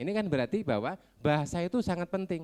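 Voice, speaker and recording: A man with a Javanese accent and lively intonation, on a very clean recording with a silent background. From Ponorogo, East Java. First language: Javanese (speaking Indonesian). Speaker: education office representative. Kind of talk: ceremonial speech. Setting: graduation ceremony.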